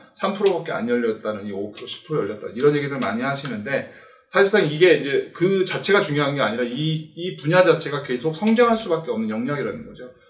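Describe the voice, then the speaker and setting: Noticeable background noise sits behind a man talking at a very fast pace with lively intonation. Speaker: tech company presenter. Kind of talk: webinar presentation.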